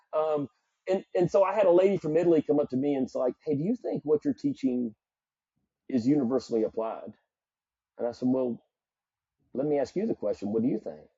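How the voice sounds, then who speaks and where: A man with a Southern US accent, fairly high-pitched, with lively intonation, a fairly quick pace and long, frequent pauses. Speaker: psychologist and performance coach. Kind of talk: podcast interview.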